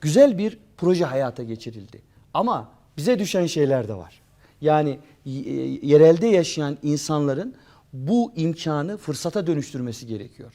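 Fairly high in pitch yet dark and mellow in tone, a man speaks fairly slowly with very wide pitch swings and big swings in loudness. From Turkey, Beyşehir (Konya province). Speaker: history professor. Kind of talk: interview.

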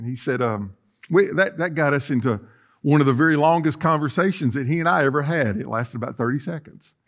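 A man talks at a moderate pace. Behind him, things stay quiet. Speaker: pastor. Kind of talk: sermon. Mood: humorous, folksy. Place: church.

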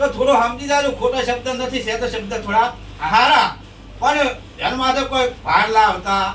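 A man speaks in an extremely high pitch with ordinary pitch variation. Noticeable background noise and audible room echo fill the recording. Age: 60s. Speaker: YouTuber. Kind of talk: interview.

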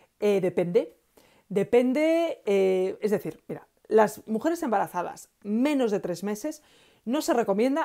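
A woman's dark, mellow tone with very wide pitch swings, over a quiet background. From Galicia, Spain. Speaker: aromatherapy educator and author; aromatherapy educator. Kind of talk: live Q&A stream. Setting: live stream on Facebook and Instagram. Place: home room. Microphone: earbuds.

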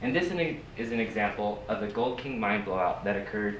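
Over light background noise, a man speaks with audible echo from the room. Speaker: presenter. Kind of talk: lecture. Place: classroom. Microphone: camera far.

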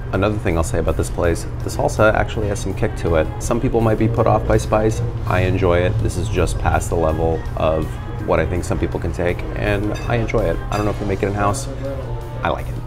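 At a very fast pace, a man speaks with clear music in the background. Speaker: drink reviewer. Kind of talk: casual vlog chat. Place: bar.

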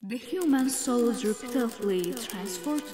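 A woman's fairly high-pitched voice over background music. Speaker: narrator. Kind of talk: fantasy film narration.

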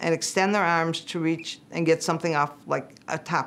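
At a moderate pace, a woman talks in a fairly low voice. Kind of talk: interview answer. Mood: calm, instructive. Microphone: lapel.

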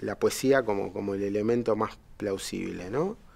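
A man speaks in a Uruguayan accent. His pace is fairly slow. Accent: Rioplatense Spanish (Uruguayan). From Uruguay, Montevideo. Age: 50s. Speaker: poet and economist; poet. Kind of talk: poetry reading; interview. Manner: halting, many fillers and repetitions. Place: studio.

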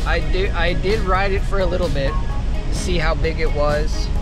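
A man talks at a fairly slow pace over clear background music. The sound is dry, without any echo. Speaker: surfer vlogger. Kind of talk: casual vlog chat. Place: car. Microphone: phone near.

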